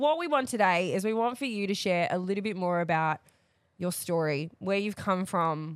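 In a very clean recording with a silent background, a woman uses a normal speaking voice at a medium pitch, with ordinary pitch variation and a moderate pace. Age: 30s. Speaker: podcast co-host. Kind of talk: casual chat. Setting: studio.

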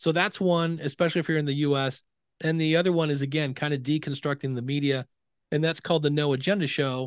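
Over a quiet background, a man speaks at a fairly quick pace with a fairly high pitch. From Ohio, US Midwest (Akron). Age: 50s. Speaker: podcasting educator. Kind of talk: interview conversation.

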